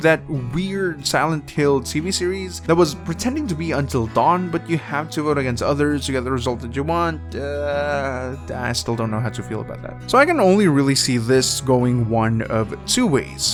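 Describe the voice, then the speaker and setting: Music plays in the background as a man speaks at a moderate pace, his pitch swinging very widely. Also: medium pitch for a man. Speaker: gaming news commentator. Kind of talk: casual video commentary. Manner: casual, conversational.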